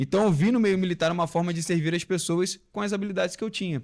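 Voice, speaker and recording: A man talks with a Rio de Janeiro accent. The recording is very clean, with a silent background. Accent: Rio de Janeiro (carioca). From Rio de Janeiro, Brazil. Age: 30s. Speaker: former military police officer. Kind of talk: podcast interview.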